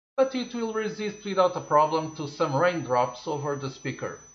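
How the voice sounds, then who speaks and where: Someone talks at a moderate pace in a Portuguese accent, the pitch swinging very widely. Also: man. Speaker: tech reviewer. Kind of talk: product review. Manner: halting.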